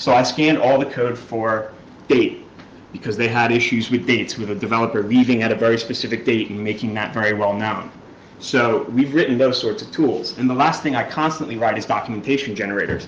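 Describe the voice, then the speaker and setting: A man with a strong New York accent talks fairly quickly at medium pitch with fairly even intonation. Noticeable background noise and audible room echo fill the recording. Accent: New York accent, thick. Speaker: security researcher, conference speaker. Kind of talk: conference talk. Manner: fast.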